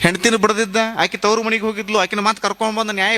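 A raised, projected voice in a North Karnataka accent, dry and close with no echo, over noticeable background noise. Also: man. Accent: North Karnataka Kannada dialect. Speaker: religious speaker, swami of a monastery. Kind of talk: spiritual discourse with storytelling. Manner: animated.

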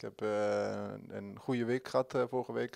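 Ordinary pitch variation from a man, the background quiet. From Netherlands (moved there at age nine). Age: 20s. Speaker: football player. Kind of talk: interview. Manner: halting. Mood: calm, content. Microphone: handheld.

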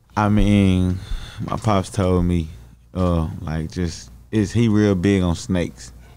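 A man with an American accent, very deep and low in pitch, dark and mellow in tone, at a very slow pace. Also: ordinary pitch variation. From Dallas, Texas. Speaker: rapper. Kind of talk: interview. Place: studio. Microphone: studio mic.

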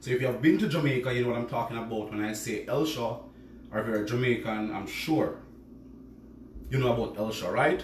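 The room has audible echo and light background noise. A man speaks at a fairly quick pace with fairly even intonation. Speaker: home cook host. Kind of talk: live cooking stream chat. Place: kitchen. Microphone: phone near.

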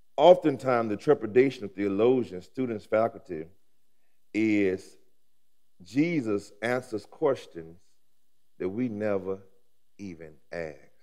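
Against a quiet background, a man with an American accent speaks at a fairly slow pace and a fairly low pitch, his intonation lively, his loudness swinging widely, with long, frequent pauses. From Alabama, US South. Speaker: pastor. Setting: seminary chapel with audience. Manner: rhythmic, repetitive preaching cadence with rising emphasis; warm, humorous asides with laughter. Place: church. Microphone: headset.

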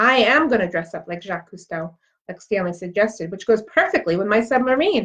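Lively intonation in plain reading aloud over a quiet background

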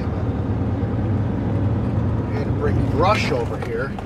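A man's voice at a moderate pace, dry with no echo, over loud background noise. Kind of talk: casual vlog chat. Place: car. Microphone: camera far.

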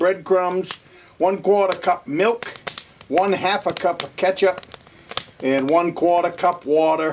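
Over noticeable background noise, a man speaks fairly slowly in a high voice with fairly even intonation. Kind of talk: tutorial. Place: kitchen. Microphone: camera far.

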